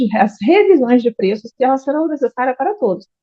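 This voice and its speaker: A woman speaks with a Brazilian accent at a high pitch. Her pitch swings very widely. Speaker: accountant. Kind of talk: lecture. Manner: fast.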